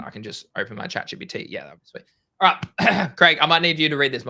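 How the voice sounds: Putting on a character voice, a man speaks fairly quickly in a raspy, fairly high voice with lively intonation and big swings in loudness.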